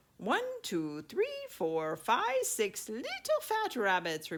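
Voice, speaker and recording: A female-sounding put-on character voice, fairly high in pitch and very slow. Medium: read story.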